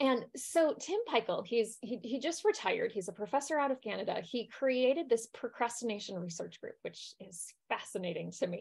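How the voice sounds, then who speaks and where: A woman's high voice at a moderate pace, with very wide pitch swings, over a quiet background. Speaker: wellbeing coach. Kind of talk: lecture. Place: home room.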